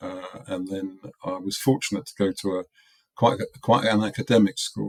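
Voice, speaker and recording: In an English accent, a man speaks with fairly even intonation and a fairly low pitch. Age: 70s. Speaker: product designer. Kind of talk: interview.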